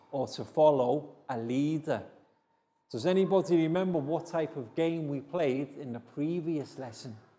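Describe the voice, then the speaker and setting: A man speaks with a dark, mellow tone. His pitch variation is ordinary. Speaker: teacher. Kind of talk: lesson to children. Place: classroom.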